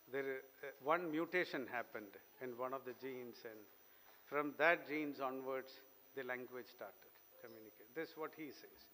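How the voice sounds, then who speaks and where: A man with a Keralan accent speaks at a moderate pace and medium pitch. His tone is bright and sharp, his intonation fairly even, and his loudness swings widely. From Kerala, India. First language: Malayalam. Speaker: invited speaker. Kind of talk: speech.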